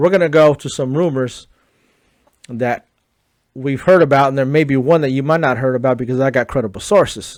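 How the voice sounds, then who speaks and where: Fairly high pitch from a man, with pitch shifting in a typical way. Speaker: sports commentary youtuber. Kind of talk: casual commentary monologue. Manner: fast; animated.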